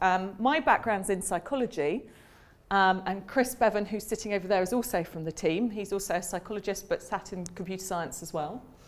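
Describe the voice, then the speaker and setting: A woman with a British accent, medium pitch and ordinary pitch variation, on a very clean recording with a silent background. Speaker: academic psychologist giving a seminar talk. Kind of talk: lecture. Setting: seminar room with audience. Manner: fast; hesitant, many fillers.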